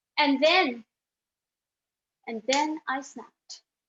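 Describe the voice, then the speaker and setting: Very slow speech in a Pakistani accent. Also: woman. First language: Urdu. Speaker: speech contestant. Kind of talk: contest speech.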